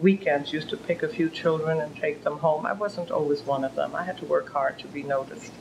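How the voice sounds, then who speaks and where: Speaking in a German accent, a woman has a very deep, low pitch with ordinary pitch variation. She talks at a fairly quick pace over noticeable background noise. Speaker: author and philanthropist. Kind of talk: interview.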